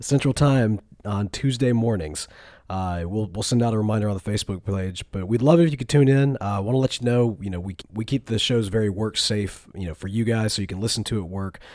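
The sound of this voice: At a fairly quick pace with few pauses, a man talks in a fairly low pitch with a slightly mellow tone. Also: ordinary pitch variation.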